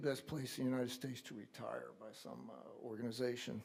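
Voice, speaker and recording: Here a man speaks with a dark, mellow tone. His pace is moderate. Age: 70s. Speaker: local historical society member. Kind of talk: public comment at council meeting.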